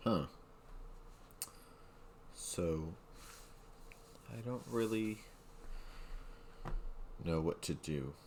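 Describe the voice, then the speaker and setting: Mumbling at a very slow pace with long, frequent pauses, a man speaks in a very deep, low pitch with lively intonation. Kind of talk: casual talk to camera.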